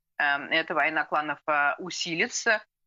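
Against a quiet background, a woman speaks fairly slowly in a very deep, low voice with ordinary pitch variation. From Russia. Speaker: political analyst; guest. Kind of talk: live TV interview. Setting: remote video link. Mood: calm, analytical. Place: home room. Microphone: video call.

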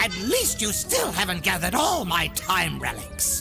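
A man's high, put-on character voice with very wide pitch swings, vocal fry and a fairly slow pace, clear music behind it.

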